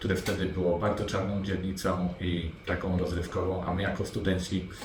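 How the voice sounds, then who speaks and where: A man speaks at a moderate pace with a very deep, low pitch and a monotone, flat intonation. The room echo is audible and background noise is noticeable. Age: 40s. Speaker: property investor. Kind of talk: interview. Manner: halting, with fillers.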